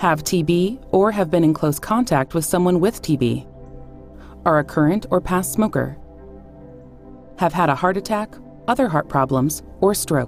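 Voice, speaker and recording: With music in the background, a woman with a fairly low pitch speaks at a moderate pace and very even loudness, leaving long, frequent pauses. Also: lively intonation. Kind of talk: pharmaceutical safety information read.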